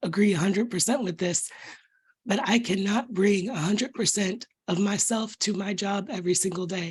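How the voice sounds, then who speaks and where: This woman's voice is somewhat breathy. She talks at a fairly quick pace with ordinary pitch variation. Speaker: meeting participant. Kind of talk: casual chat.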